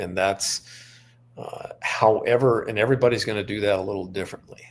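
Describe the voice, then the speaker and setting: A man with an unremarkable speaking voice talks fairly quickly in a fairly low pitch, his intonation fairly even but his loudness swinging widely. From Montana. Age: 60s. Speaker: author. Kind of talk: interview.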